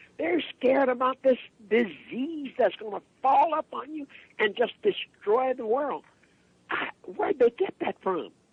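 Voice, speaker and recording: At a fairly slow pace, a man talks in an extremely high pitch. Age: 80s. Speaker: herbalist, health activist. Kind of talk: radio show conversation. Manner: animated.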